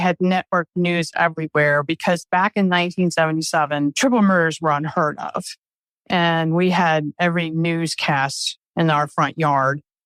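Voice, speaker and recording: A woman with an American accent and a plain, everyday voice, fairly low in pitch, at a fairly slow pace, in a dry, close sound with no echo. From US, Maryland (Glen Burnie). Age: 60s. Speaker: former student and friend of a nun. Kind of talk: podcast interview, personal recollection.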